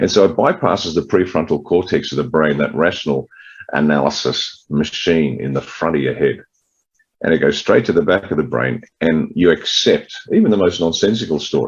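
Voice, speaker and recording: Talking with an Australian accent, this man holds a moderate pace. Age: 60s. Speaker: political party leader. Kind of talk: interview.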